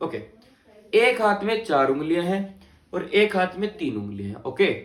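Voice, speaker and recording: Audible room echo surrounds a man with a slight Haryanvi accent. His high-pitched voice has an animated tone. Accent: slight Haryanvi touch. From Haryana, India. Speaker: teacher. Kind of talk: lecture.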